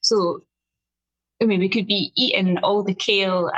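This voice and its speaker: A woman with a strong Scottish accent, at a fairly slow pace. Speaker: nutritional therapist and health coach. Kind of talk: podcast interview. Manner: slow and clear, deliberate.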